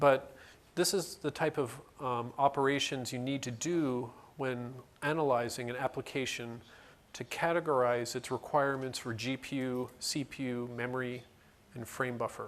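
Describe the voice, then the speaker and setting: A man talks at a medium pitch with fairly even intonation. It is an ordinary speaking voice. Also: moderate pace. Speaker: conference presenter. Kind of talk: technical presentation.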